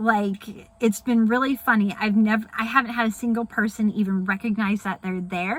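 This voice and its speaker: A woman talks at a moderate pace in a somewhat breathy voice. Her pitch shows ordinary variation. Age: adult. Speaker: vlogger. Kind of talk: casual vlog. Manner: hesitant, many fillers.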